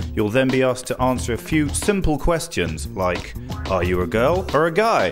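A man talks at a moderate pace with very wide pitch swings while music plays in the background. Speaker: voice-over artist. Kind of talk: TV promo read.

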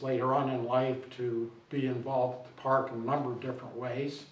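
Medium-pitched speech from a man with an American accent at a moderate pace, with audible room echo and noticeable background noise. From Ohio, US Midwest. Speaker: mayor. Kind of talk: interview.

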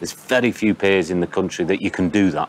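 Very deep and low, a man's voice moves at a very fast pace with fairly even intonation. The sound is dry with no echo, over light background noise. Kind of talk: interview answer. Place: waterside. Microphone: lapel.

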